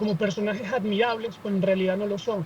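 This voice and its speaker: A high-pitched man's voice amid noticeable background noise. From Venezuela. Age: 20s. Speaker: student activist. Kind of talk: podcast interview.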